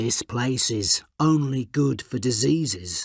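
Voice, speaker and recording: Fairly slow, medium-pitched put-on character voice from a man. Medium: read story.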